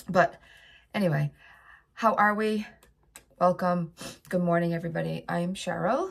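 A woman speaks with a fairly low pitch. Her voice is somewhat breathy, with ordinary pitch variation. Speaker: vlogger. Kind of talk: casual chat. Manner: chatty.

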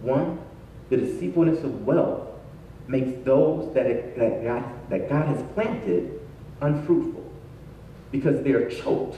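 With audible room echo and light background noise, a man speaks at a fairly slow pace, leaving long, frequent pauses. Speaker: pastor. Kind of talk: sermon. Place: church.

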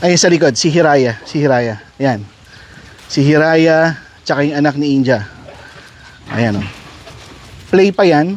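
Against noticeable background noise, a man talks at a fairly slow pace with lively intonation and long, frequent pauses. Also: fairly high pitch for a man. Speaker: dog breeder. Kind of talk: casual vlog narration while handling dogs. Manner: commands to dogs, short bursts.

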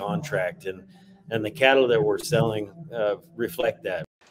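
With music playing behind him, a man's intonation stays lively as he talks at a moderate speed. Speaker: livestock auctioneer. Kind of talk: interview answer. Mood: upbeat, confident. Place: office. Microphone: webcam.

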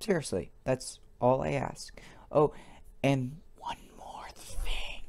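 Someone whispers at a very slow pace. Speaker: video game player. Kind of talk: angry rant. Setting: gameplay commentary over screen capture. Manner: indignant, emphatic, repeating words for punch.

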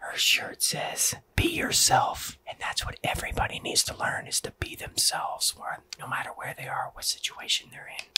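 Whispering at a moderate pace, a man speaks with hardly any pauses. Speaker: ASMR creator. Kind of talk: soft ASMR vlog chat with doll play. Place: home room. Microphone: studio mic.

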